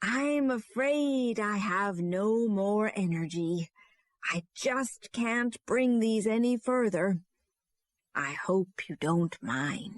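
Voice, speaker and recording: A female-sounding voice puts on a character voice at a fairly high pitch. The pace is very slow. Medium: read story.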